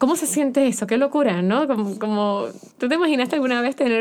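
A woman at a high pitch with ordinary pitch variation and a very fast pace. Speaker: podcast host. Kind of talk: casual interview. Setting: studio.

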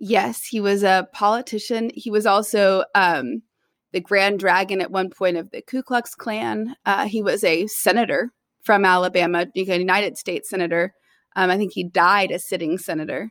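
An ordinary speaking voice from a woman with an American accent, medium pitch and ordinary pitch variation, at a moderate pace, with a dry, close sound with no echo, on a very clean recording with a silent background. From US South, Tennessee (Nashville). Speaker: poet and writer in residence. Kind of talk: interview.

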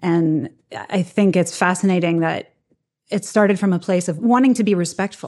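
A woman with an ordinary speaking voice talks at a moderate pace and medium pitch. Her pitch variation is ordinary, and her loudness stays very even. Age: 30s. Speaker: film writer and editor. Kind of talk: casual interview.

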